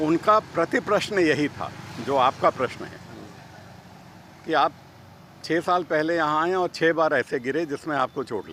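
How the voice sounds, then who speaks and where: A man's fairly high-pitched voice over noticeable background noise. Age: 60s. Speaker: cycling enthusiast. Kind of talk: interview.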